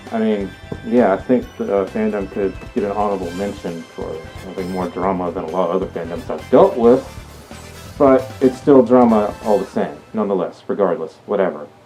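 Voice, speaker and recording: Music sounds in the background. The talking goes along fairly quickly. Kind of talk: casual talk to camera. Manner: hesitant, stuttering.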